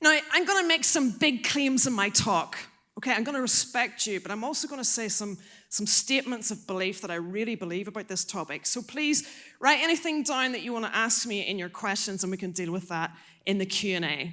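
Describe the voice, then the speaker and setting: A woman with an Irish accent talks at a fairly quick pace in an animated, bright, sharp tone, her fairly high pitch swinging very widely, on a very clean recording with a silent background. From Ireland. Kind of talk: talk to a youth audience. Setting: stage with audience.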